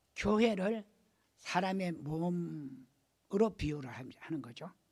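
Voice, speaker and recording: Speaking very slowly, a man uses a high pitch and lively intonation. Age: 80s+. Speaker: pastor. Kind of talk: sermon. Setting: church.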